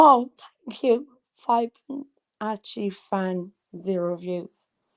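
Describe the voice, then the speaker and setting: A woman speaks with an Irish accent in a dry, close sound with no echo. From Ireland. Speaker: livestreamer and psychic reader. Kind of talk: casual livestream chat. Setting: live video stream. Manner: rambling, halting with many fillers.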